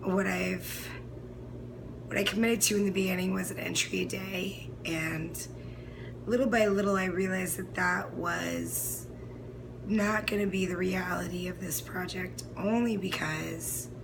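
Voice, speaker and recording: A woman talks fairly slowly, with noticeable background noise and audible echo from the room. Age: 20s. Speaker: fitness instructor and video diarist. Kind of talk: personal video diary monologue. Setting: home recording, no background music. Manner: stream of consciousness, filler-heavy.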